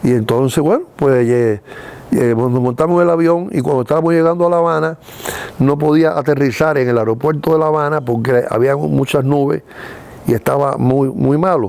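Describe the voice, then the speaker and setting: At a moderate pace, with ordinary pitch variation and very even loudness, the voice comes through noticeable background noise. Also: man, fairly high pitch for a man. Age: 80s+. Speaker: retired film producer. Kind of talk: interview storytelling. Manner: animated.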